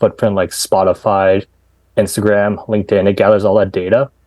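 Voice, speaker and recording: At a fairly quick pace, a man talks at a fairly low pitch in a dark, mellow tone. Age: 30s. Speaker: dating app founder. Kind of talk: podcast interview. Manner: casual, conversational.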